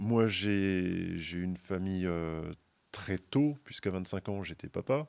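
A man speaks at a very slow pace with a very deep, low pitch. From Moselle, eastern France. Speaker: carp angler, brand team member; podcast guest. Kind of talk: casual chat. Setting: outdoors at a fishing event. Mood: relaxed anecdotal. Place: studio. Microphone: studio mic.

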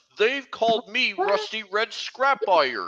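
A put-on character voice at a fairly high pitch. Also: fairly slow pace. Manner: rusty, grumbling.

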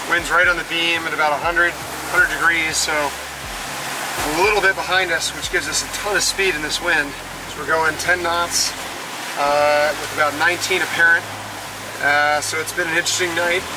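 A man speaks at a moderate pace with noticeable background noise. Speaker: sailing vlogger. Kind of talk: casual vlog chat. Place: boat. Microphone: phone near.

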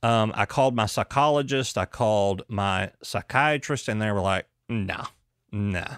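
Recorded very cleanly against a silent background, a man with a plain, everyday voice speaks at a moderate pace and fairly low pitch with ordinary pitch variation, the sound dry and close with no echo. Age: 30s. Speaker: doctor and podcast host. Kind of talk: casual chat.

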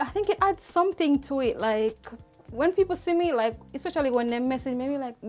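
Faint music can be heard in the background. The woman's pace is fairly quick. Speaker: interviewee, content creator. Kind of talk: interview answer. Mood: relaxed, amused, candid. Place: studio.

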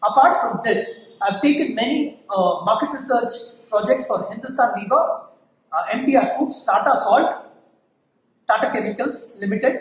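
Audible room echo surrounds a man with an Indian accent whose extremely high pitch rides on lively intonation. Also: fairly slow pace. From India, Bangalore. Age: 40s. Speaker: assistant professor. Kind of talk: tutorial. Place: classroom. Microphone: camera far.

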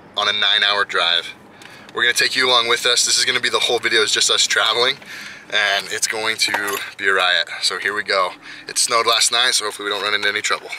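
A man talks at a very fast pace. The sound is dry with no echo, with noticeable background noise. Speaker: family vlogger. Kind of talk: casual vlog chat. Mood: upbeat, amused. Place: car. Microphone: phone near.

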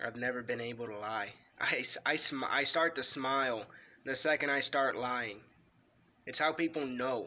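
A man with a bright, sharp tone speaks at medium pitch and a moderate pace. His intonation is fairly even, broken by long, frequent pauses. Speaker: wrestling video creator. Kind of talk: ghost story telling, personal true-account told casually to camera. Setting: home-recorded video. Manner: halting, hesitant, filled with ums and restarts; earnest, tense, fearful tone, emphatic. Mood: calm, earnest. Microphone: phone near.

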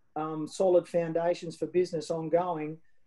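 A woman with an Australian accent, fairly low pitch and a dark, mellow tone at a moderate pace, over a quiet background. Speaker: wine ambassador and storyteller; storyteller. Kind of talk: interview answer. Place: home room. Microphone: video call.

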